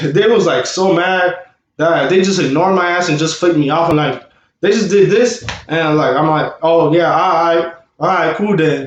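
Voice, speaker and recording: A man mumbles in a high voice with ordinary pitch variation. His loudness stays very even, and room echo is audible. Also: moderate pace. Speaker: vlogger and rapper. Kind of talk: storytime vlog. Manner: slightly mumbled speech; casual, halting with fillers.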